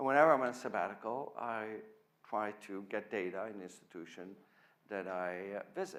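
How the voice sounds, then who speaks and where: A man with a Dutch accent talks at a moderate pace with lively intonation, and room echo is audible. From Netherlands. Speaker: physics professor. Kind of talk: lecture.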